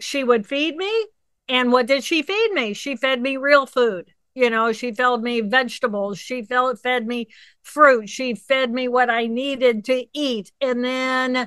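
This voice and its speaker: A woman speaks at a fairly slow pace in a high pitch with ordinary pitch variation. Her tone is bright and sharp. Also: quiet background. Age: 60s. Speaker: neuroanatomist. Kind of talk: interview. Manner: animated.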